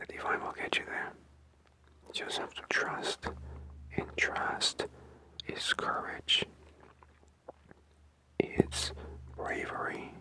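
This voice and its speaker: Whispering at a very slow pace, a man leaves long, frequent pauses amid noticeable background noise. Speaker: spiritual motivational speaker. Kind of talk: spiritual motivational talk. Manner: whispered.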